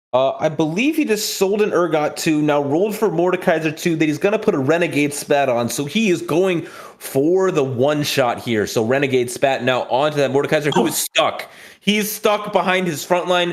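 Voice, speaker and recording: Over noticeable background noise, a man speaks at a fairly high pitch with lively intonation and very even loudness. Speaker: esports commentator. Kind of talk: live commentary. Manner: fast.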